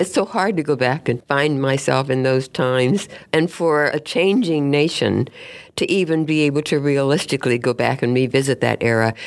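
The voice has an American accent. Its loudness stays very even. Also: woman, very deep, low pitch for a woman, ordinary pitch variation, moderate pace. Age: 90s. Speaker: national park ranger and historian. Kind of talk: interview.

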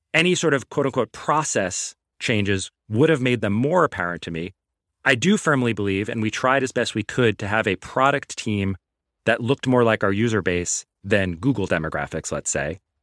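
In a very clean recording with a silent background and a dry, close sound with no echo, a man uses a normal speaking voice at medium pitch with lively intonation and a moderate pace. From US Northeast, New York (Queens, Long Island). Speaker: venture capitalist. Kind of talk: casual chat.

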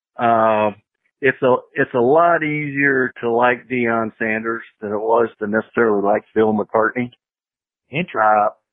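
A man with an American accent talks at medium pitch and a very slow pace. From US Midwest (Missouri). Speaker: former college football coach. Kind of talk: interview. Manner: halting.

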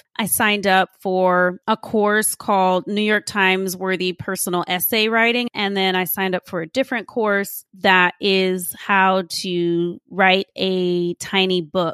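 In an American accent, a woman at medium pitch reads fairly slowly in a flat monotone with hardly any pauses, the sound dry and close with no echo. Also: very clean recording, silent background. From Austin, Texas. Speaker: entrepreneur, admissions consultant. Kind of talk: interview.

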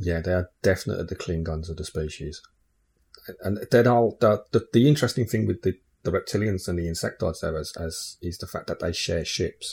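Very deep, somewhat breathy male voice with an English accent, lively intonation and a fairly quick pace, in a very clean recording with a silent background. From England. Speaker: podcast host. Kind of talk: casual chat.

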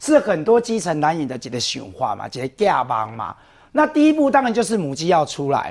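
A man's fairly high voice at a fairly quick pace, with very wide pitch swings, big swings in loudness, and a very clean recording over a silent background. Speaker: city councillor. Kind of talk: TV political talk show.

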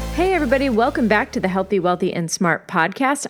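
A woman at a medium pitch talks with very wide pitch swings. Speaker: podcast host. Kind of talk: scripted intro.

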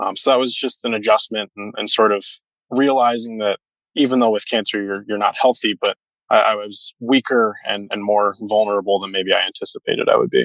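In an ordinary speaking voice, a man talks at a fairly quick pace with medium pitch and fairly even intonation, the recording very clean with a silent background and a dry, close sound with no echo. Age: 20s. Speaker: cancer survivor, medical trainee. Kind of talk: panel discussion.

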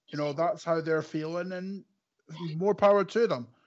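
A man with a Scottish accent speaks at a fairly high pitch with ordinary pitch variation. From Scotland. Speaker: football fan podcast guest. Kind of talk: casual chat. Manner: animated.

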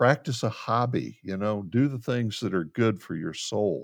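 Against a quiet background, a man with an unremarkable speaking voice talks at a medium pitch and a fairly slow pace. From Central Florida. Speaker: pastoral counselor. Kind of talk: interview conversation.

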